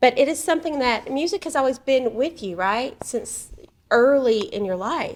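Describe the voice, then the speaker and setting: The intonation is lively and the pace moderate. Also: woman, high pitch for a woman. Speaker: talk show host. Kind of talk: talk show interview.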